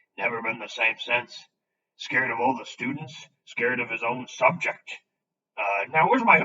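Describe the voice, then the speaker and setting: A raspy, put-on character voice comes from a man at medium pitch and a moderate pace. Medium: read story. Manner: rough, homely, hearty.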